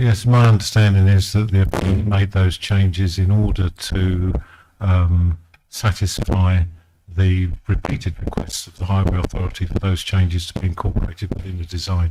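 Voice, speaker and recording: A soft-spoken man speaks at a moderate pace with a very deep, low pitch. His intonation is monotone and flat, while his loudness swings a lot. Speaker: highway authority witness. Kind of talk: witness testimony at inquiry. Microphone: too quiet, moved closer to mic.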